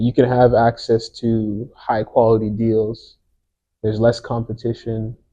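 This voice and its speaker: At a fairly slow pace, a man speaks at a medium pitch in a monotone, flat intonation. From France or French Canada. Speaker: podcast co-host. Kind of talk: casual podcast conversation.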